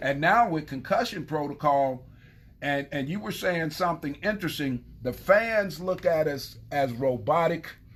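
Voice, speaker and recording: This man has an unremarkable speaking voice, pitched fairly high, with lively intonation at a moderate pace. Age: 60s. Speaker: former football player. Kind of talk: casual chat.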